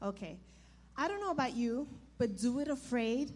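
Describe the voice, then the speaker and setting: A woman's fairly high voice with vocal fry, lively intonation, and a fairly slow pace. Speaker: pastor's wife, speaking at church.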